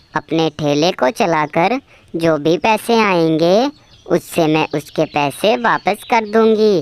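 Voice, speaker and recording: A woman puts on a cartoonish character voice at a fairly low pitch, with lively intonation and a very slow pace. Her loudness stays very even, and the sound is dry and close with no echo. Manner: earnest, emotional.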